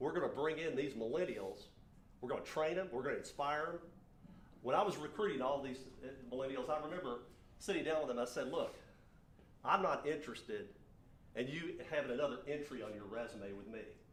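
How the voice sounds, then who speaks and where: A man's fairly high voice with lively intonation at a fairly quick pace, broken by long, frequent pauses, plus audible room echo. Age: 60s. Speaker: business owner and speaker. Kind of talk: motivational talk.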